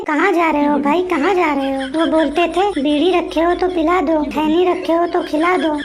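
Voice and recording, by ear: Doing a cartoonish character voice, a woman speaks at an extremely high pitch and a fairly quick pace against clear background noise.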